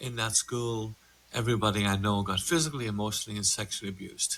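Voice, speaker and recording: Talking at a very fast pace, a man with an Irish accent and fairly low pitch keeps his intonation fairly even. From Ireland, border with Northern Ireland. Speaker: meditation instructor and coach. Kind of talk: podcast conversation.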